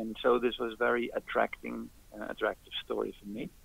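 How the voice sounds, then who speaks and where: This man has a Dutch accent. He talks at a moderate pace. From Netherlands. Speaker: ultrarunner. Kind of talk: interview. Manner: halting.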